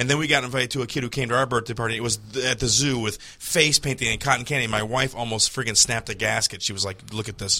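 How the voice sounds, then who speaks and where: With hardly any pauses, a man talks at a very fast pace in a bright, sharp tone, medium pitch and fairly even intonation. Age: 40s. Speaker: comedian. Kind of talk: casual chat. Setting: studio.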